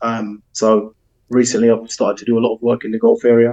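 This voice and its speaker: In a South London accent, a man speaks at a medium pitch with a dark, mellow tone. The sound is dry and close, with no echo. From South London, England. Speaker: football agent. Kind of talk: podcast interview. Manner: frequent fillers, um.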